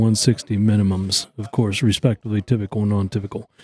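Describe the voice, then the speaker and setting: A man's dark, mellow voice with an American accent at a moderate pace, dry and close with no echo, on a very clean recording with a silent background. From eastern Ohio, US. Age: 60s. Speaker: deer antler scorer and club historian. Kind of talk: interview. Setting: live event venue. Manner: halting, with many fillers.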